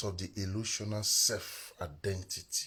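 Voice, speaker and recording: A quiet, bright and sharp voice at a very slow pace. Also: man. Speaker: spiritual teacher. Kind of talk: live stream teaching. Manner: quiet, low volume.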